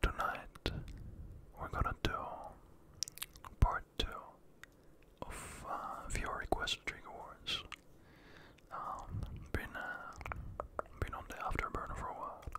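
A man speaks at a fairly slow pace, leaving long, frequent pauses. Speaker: ASMR creator. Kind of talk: ASMR trigger-word video. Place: home room. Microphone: studio mic.

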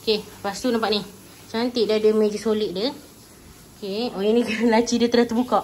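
Monotone, flat intonation at a moderate pace over light background noise. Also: woman. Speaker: travel vlogger. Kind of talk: casual room tour narration. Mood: cheerful, laughing at times. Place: home room. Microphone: phone near.

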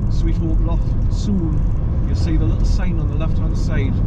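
Loud background noise behind a male speaker at a moderate pace. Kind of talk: casual driving commentary. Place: car. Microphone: phone near.

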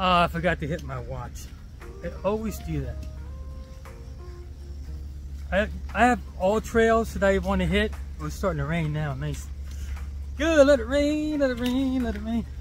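A man speaks at a moderate pace with long, frequent pauses. The sound is dry with no echo, and faint music plays in the background. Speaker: hiking vlogger. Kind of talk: casual vlog chat. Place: forest. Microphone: phone near.

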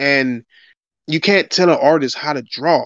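Here is an ordinary speaking voice from a man with a fairly high pitch. He keeps a moderate pace. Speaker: gaming podcast panelist. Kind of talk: casual chat.

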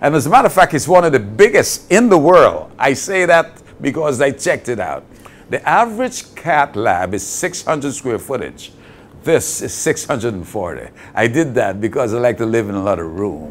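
A man speaks at a moderate pace with vocal fry and very wide pitch swings. Light background noise can be heard. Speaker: interviewee. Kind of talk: interview answer. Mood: warm, enthusiastic. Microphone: lapel.

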